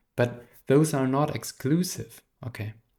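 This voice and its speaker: A man's very slow speech in a non-native accent, with fairly even intonation. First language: not English. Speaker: therapist and philosophy teacher. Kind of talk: lecture. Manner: halting.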